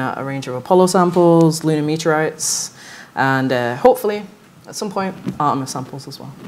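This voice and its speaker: A woman speaks with a Manchester accent. Her pace is moderate and her pitch varies in an ordinary way. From northern England, Manchester. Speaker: lunar geologist. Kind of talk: panel discussion.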